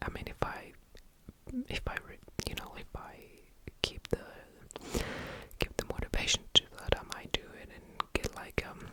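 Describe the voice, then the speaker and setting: Whispering, a man speaks at a moderate pace. Noticeable background noise is present. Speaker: ASMR creator. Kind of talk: ASMR ramble. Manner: whispered, soft-spoken.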